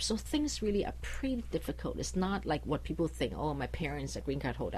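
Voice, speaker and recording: A woman speaks at a fairly quick pace with a Chinese accent. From China or Taiwan, foreign born Chinese. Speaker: immigration lawyer. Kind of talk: radio interview. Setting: radio studio.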